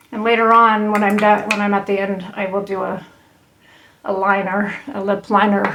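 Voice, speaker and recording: Over noticeable background noise, a woman speaks at a medium pitch and moderate pace with monotone, flat intonation. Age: 60s. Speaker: makeup vlogger. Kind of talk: tutorial. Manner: halting, many fillers and restarts; casual, conversational.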